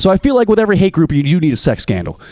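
Dark and mellow in tone, a man's voice moves with lively intonation. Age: 20s. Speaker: comedian. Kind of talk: stand-up.

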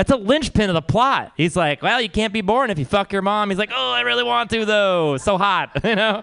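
Against a quiet background, a man speaks in a raised, projected voice with a bright, sharp tone, his high pitch swinging very widely as he talks at a fairly quick pace with hardly any pauses. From Texas. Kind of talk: open mic stand-up. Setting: stage with audience.

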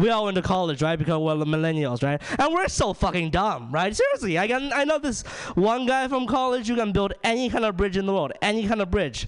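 A man, very fast and animated, with very wide pitch swings. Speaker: stand-up comedian. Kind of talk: stand-up comedy. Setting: stage with audience. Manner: animated, profane.

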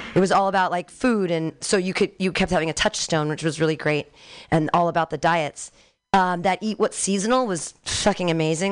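Over a quiet background, a woman talks at a fairly quick pace, her fairly low pitch showing ordinary variation. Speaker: open mic comedy host. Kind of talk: live emceeing and feedback to comics. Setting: stage with audience. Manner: animated.

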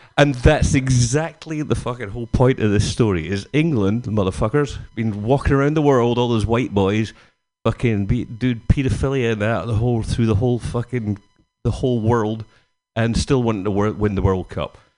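A man with a Glaswegian accent speaks at a moderate pace, his medium-pitched voice dark and mellow with ordinary pitch variation. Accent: Glaswegian Scottish. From Scotland, near Glasgow. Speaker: stand-up comedian. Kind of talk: stand-up. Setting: stage with audience. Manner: animated.

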